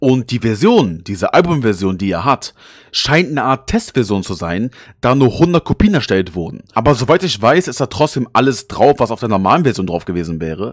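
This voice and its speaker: On a very clean recording with a silent background and a dry, close sound with no echo, a man speaks at medium pitch with very wide pitch swings. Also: moderate pace. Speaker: YouTuber. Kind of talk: scripted narration.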